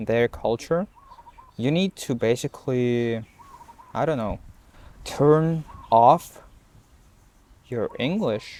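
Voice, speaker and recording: At a very slow pace, a man speaks with long, frequent pauses. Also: medium pitch for a man, ordinary pitch variation. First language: Russian. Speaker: language learning vlogger. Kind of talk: unscripted talk to camera. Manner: halting, many fillers and repetitions.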